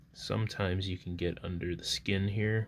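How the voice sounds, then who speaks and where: This soft-spoken voice has lively intonation and moves at a moderate pace. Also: man. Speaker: artist. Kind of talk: casual chat. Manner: loud.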